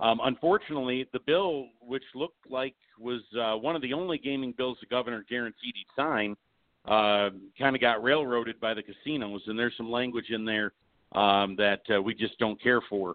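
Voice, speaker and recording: At a moderate pace, a man with a normal speaking voice talks at a medium pitch that shows ordinary variation. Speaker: horsemen association representative. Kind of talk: casual interview. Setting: phone call.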